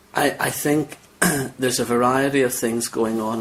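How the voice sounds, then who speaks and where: With a Northern Irish accent, a man of medium pitch speaks at a fairly slow pace with fairly even intonation over noticeable background noise. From Northern Ireland. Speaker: cleric. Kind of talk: interview. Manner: halting.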